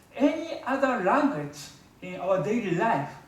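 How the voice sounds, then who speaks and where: With a Japanese accent, a man speaks in very wide pitch swings, his voice picking up audible room echo and noticeable background noise. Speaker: public speaker. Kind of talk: speech. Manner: halting.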